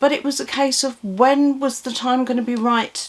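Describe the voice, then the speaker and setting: A woman speaks with an English accent at a moderate pace. Her intonation is fairly even. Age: 60s. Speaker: vlogger. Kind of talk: casual chat. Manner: rambling, hesitant with repetitions.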